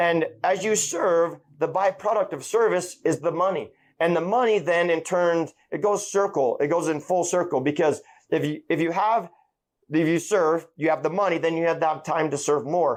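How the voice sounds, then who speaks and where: The loudness stays very even throughout. The tone is energetic, at a moderate pace. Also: man. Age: 40s. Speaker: podcast host and insurance marketing agency owner. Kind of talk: personal reflection monologue.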